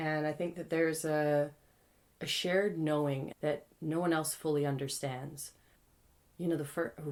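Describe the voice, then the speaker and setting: Her very deep, low voice held in a flat monotone, a woman speaks at a fairly slow pace. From Canada. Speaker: spoken word poet. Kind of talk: interview answer.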